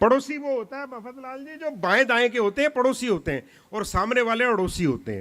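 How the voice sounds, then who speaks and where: Delivered at a moderate pace with hardly any pauses, the voice has a bright, sharp tone and big swings in loudness. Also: man, extremely high pitch for a man, ordinary pitch variation. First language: Punjabi (speaking Hindi). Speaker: comic poet. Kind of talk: stage poetry and comedy performance. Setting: stage with audience.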